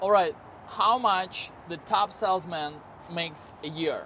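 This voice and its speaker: Speaking with an Eastern European accent, a man talks at a fairly slow pace with a high pitch and ordinary pitch variation. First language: Eastern European language. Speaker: car salesman and video creator. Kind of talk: casual vlog talk to camera.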